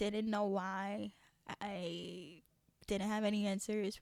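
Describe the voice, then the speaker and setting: In a New York accent, a woman speaks at a fairly slow pace with a medium pitch. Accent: New York American English. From Haiti, raised in New York from childhood. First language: French. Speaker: podcast host. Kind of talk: casual chat. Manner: casual, many fillers.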